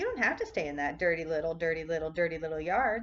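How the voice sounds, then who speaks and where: A woman speaks at a moderate pace in a put-on character voice pitched fairly low. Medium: read story. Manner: repetitive.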